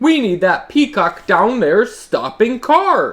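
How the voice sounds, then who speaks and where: With very wide pitch swings, a man does a put-on character voice at an extremely high pitch. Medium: read story.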